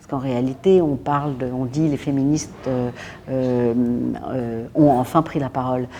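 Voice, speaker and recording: A woman's very deep, low voice at a fairly slow pace. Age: 60s. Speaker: feminist activist, association president. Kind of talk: documentary interview. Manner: hesitant, many filler sounds.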